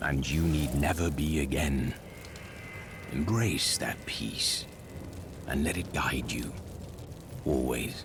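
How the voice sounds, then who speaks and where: Through loud background noise, a man uses a put-on character voice at a fairly slow pace. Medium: machinima. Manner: terse, serious.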